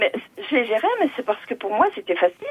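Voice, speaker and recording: A woman speaks at a fairly quick pace and a high pitch over noticeable background noise. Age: 60s. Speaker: retired nurse. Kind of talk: call-in testimony. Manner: halting.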